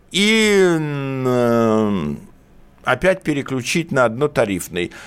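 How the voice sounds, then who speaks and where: The man talks at a very slow pace. His pitch rises and falls very widely. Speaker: lawyer. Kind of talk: radio legal consultation. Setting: studio. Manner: animated.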